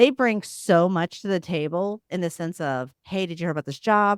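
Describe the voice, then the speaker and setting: In an American accent, a woman with a fairly low pitch speaks at a moderate pace with lively intonation and an animated tone, the sound dry and close with no echo on a very clean recording with a silent background. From US Midwest (Missouri, small town). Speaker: CEO and diversity advocate in finance. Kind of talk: podcast interview. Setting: live forum.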